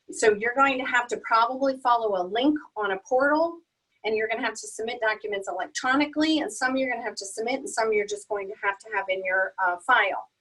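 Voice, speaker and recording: Talking at a very fast pace, a woman has a bright, sharp tone, fairly high pitch, lively intonation and big swings in loudness. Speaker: accountant presenting a webinar. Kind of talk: webinar presentation.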